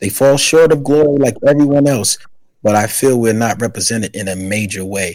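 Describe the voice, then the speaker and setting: With an American accent, a man talks in a normal speaking voice at medium pitch, with ordinary pitch variation. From New York, the Bronx. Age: 40s. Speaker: author and podcaster. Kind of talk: interview.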